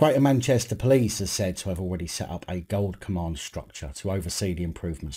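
A man speaks at a fairly quick pace, somewhat breathy, with lively intonation. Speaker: video commentator. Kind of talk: commentary. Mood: critical, sarcastic. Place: home room.

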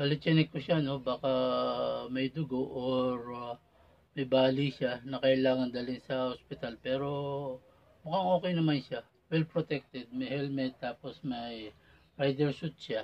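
A man's intonation stays fairly even as he talks at a fairly slow pace. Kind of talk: casual vlog chat. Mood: concerned, reflective. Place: car. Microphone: phone near.

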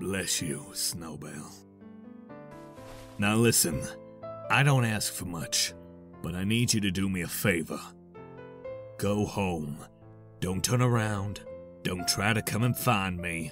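A man's put-on character voice, fairly low, at a fairly slow pace with long, frequent pauses and clear music in the background. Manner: subdued, solemn, gruff.

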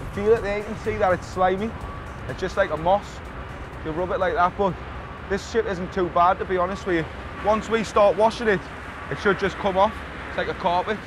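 A man with a high voice talks at a fairly quick pace and with fairly even intonation. Music plays in the background, and the sound is dry with no echo. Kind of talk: interview answer.

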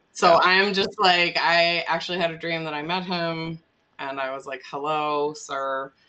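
A woman with an American accent, fairly low pitch, a bright, sharp tone, fairly even intonation and a fairly slow pace. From US Midwest, Wisconsin (Milwaukee area); Wisconsin. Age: 40s. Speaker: immigration lawyer and nonprofit co-founder; immigration lawyer. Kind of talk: casual interview. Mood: humorous, candid. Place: home room. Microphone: video call.

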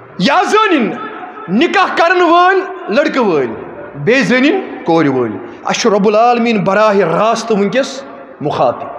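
The pitch swings very widely. Room echo is audible, and there is light background noise. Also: man, extremely high pitch for a man. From Kashmir. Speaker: Islamic preacher. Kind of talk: sermon. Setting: mosque. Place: home room. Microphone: headset.

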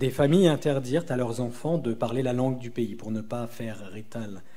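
A man's dark, mellow tone at a moderate pace with ordinary pitch variation. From southeastern France near Italy. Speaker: novelist. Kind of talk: reading aloud. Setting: stage with audience. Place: stage.

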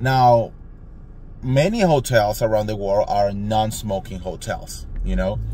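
With a Spanish accent, a man speaks fairly slowly in a fairly low, animated voice, the sound dry with no echo and light background noise. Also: ordinary pitch variation. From Colombia. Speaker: vlogger. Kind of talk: storytime monologue. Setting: in a car. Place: car. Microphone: phone near.

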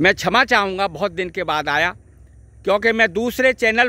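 The voice is raised and projected, bright and sharp in tone, with ordinary pitch variation, on a very clean recording with a silent background. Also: man. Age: 60s. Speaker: ayurvedic herb video blogger. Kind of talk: outdoor vlog talk. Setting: outdoors by a river.

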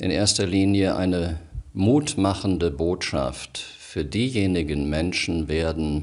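Very slow and very deep, a man's voice carries vocal fry and lively intonation over a quiet background. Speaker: radio presenter and news reader. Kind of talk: personal monologue to camera, emotional address. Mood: calm, earnest, measured. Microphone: studio mic.

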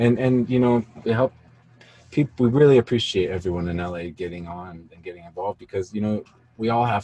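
A man speaks at a fairly quick pace with fairly even intonation. His tone is dark and mellow, with a slightly husky edge.

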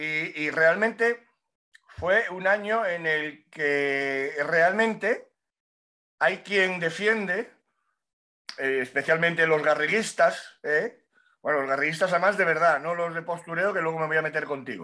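The tone is bright and sharp at a fairly slow pace. The background stays quiet. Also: man, high pitch for a man, ordinary pitch variation. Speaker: motorcycle racing pundit. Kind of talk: casual chat. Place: home room. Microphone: webcam.

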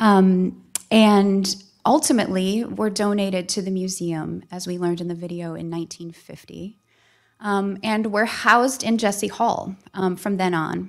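A woman with an American accent speaks with fairly even intonation over a quiet background. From Minnesota. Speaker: art museum curator. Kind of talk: public talk. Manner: halting. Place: hall. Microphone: podium.

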